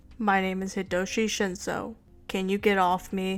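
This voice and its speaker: A woman uses a put-on character voice at a medium pitch, speaking at a moderate pace with monotone, flat intonation. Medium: read story. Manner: terse, low-key, dry.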